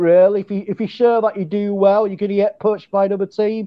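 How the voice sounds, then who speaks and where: This man has a high-pitched voice with an English accent. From England. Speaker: fan guest. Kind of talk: casual chat. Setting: video call.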